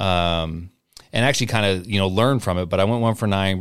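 A man with an American accent and an ordinary speaking voice talks at a fairly quick pace with fairly low pitch and fairly even intonation on a very clean recording with a silent background. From Portland, Oregon. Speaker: basketball tournament director, former college player. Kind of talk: casual chat.

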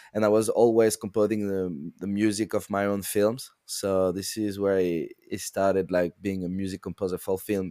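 With a French accent, a man speaks at a moderate pace in a fairly low pitch and a dark, mellow tone, with monotone, flat intonation and hardly any pauses. The recording is very clean, with a silent background. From France, French Alps. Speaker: sound designer and composer. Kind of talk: casual chat.

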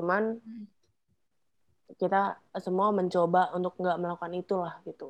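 A woman speaks at a moderate pace and medium pitch. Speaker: podcast co-host. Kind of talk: casual chat. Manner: animated.

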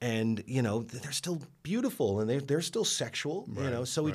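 With an American accent and an unremarkable speaking voice, a man talks at a moderate pace with lively intonation. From New York. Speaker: film director and podcaster. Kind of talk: casual chat.

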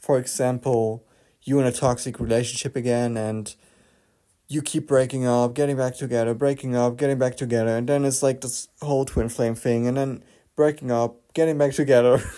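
Speaking fairly quickly with a non-native accent, a man keeps a medium pitch and monotone, flat intonation. His tone is dark and mellow, on a very clean recording with a silent background. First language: not English. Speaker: spirituality podcaster. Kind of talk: casual monologue.

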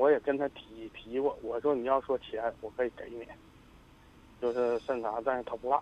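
The man's intonation is monotone and flat. He talks at a medium pitch and a moderate pace. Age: 50s. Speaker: radio caller. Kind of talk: phone-in conversation. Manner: halting.

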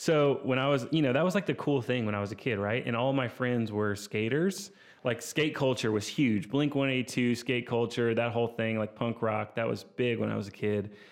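A man with medium pitch speaks in a normal speaking voice at a fairly quick pace, with hardly any pauses. His pitch varies in an ordinary way, and the background is quiet. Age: 30s. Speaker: podcast host, photographer. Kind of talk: solo casual monologue. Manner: casual, filler-heavy.

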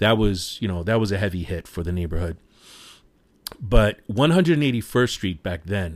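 A man with a New York accent speaks at a fairly low pitch in a very clean recording with a silent background. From New York City, Washington Heights. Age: 40s. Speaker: podcast host. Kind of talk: casual solo podcast monologue.

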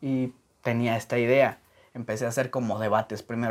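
A fairly quick pace with monotone, flat intonation. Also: man. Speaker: podcast host. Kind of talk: casual interview chat.

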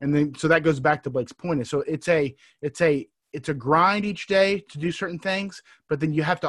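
Against a silent background in a very clean recording, a man with an American accent and an unremarkable speaking voice talks at a fairly high pitch and a fairly quick pace, with ordinary pitch variation. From Texas. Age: 30s. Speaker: entrepreneur. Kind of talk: casual interview.

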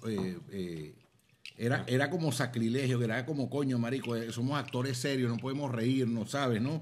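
A man's medium-pitched voice at a moderate pace with ordinary pitch variation, audible room echo and noticeable background noise. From Venezuela, Zulia (Maracaibo). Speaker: comedian and actor. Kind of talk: casual chat over drinks. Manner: animated.

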